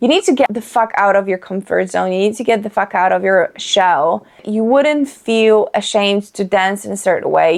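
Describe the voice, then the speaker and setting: Speaking at a moderate pace, a woman with a Polish accent uses a medium-pitched voice with ordinary pitch variation. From Poland. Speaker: lifestyle vlogger. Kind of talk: casual chat. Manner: animated.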